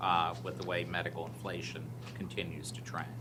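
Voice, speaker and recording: A man talks at a moderate pace with very wide pitch swings. Audible echo fills the room. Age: 60s. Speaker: audit committee member presenting to school board. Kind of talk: formal report at board meeting.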